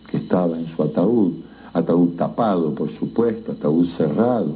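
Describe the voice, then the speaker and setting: Amid noticeable background noise, someone with an Argentine accent talks at a fairly slow pace with lively intonation. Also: man. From Argentina. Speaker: writer. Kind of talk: horror story narration.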